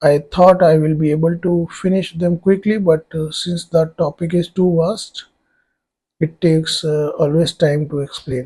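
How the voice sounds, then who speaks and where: In an Indian accent, a man speaks at a fairly slow pace with a high pitch, a dark, mellow tone, and monotone, flat intonation. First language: Hindi. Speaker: online tutor. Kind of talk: tutorial. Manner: hesitant, many fillers.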